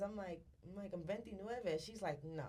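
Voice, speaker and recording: A woman speaks at a fairly quick pace and a medium pitch, with ordinary pitch variation. Audible room echo surrounds her voice. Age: 20s. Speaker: content creator and entrepreneur. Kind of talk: casual chat. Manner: halting.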